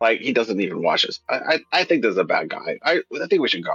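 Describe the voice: In a raspy, put-on character voice, a man talks at a moderate pace.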